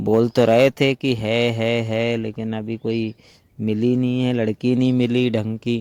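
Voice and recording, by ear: A man speaks at a slow pace. His tone is clear, smooth and slightly mellow. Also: dry, close sound with no echo.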